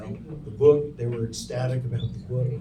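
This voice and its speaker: A man with an American accent and a medium pitch talks fairly quickly, with audible room echo and noticeable background noise. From California. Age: 70s. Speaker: journalist and author. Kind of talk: interview.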